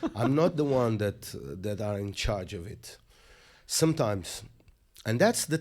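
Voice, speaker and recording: In a very clean recording with a silent background, a man with a Portuguese accent speaks at a medium pitch and a fairly slow pace, with long, frequent pauses. His pitch swings very widely and his loudness changes a lot. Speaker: musician and poet. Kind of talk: interview.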